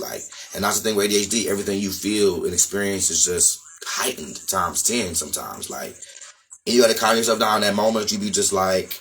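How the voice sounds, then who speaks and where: This man's pitch sits fairly low and his intonation stays fairly even as he talks very fast. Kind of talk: casual talk to camera.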